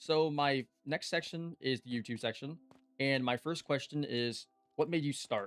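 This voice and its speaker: Music plays in the background as a man speaks with ordinary pitch variation, the sound dry and close with no echo. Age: young. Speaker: gaming youtuber. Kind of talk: gameplay commentary with Q&A. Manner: fast; quiet.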